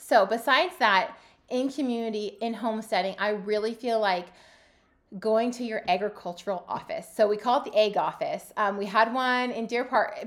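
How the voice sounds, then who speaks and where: The speaker has an ordinary speaking voice with ordinary pitch variation at a fairly quick pace. It is a very clean recording with a silent background. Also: woman. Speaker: podcast host and homesteader. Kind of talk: solo podcast monologue. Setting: home studio, video recording.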